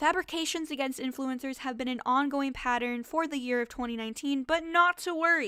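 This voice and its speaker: Speaking at a fairly quick pace, a woman has a high pitch, a bright, sharp tone, an animated tone, and lively intonation. The recording is very clean, with a silent background. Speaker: YouTuber. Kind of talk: vlog monologue.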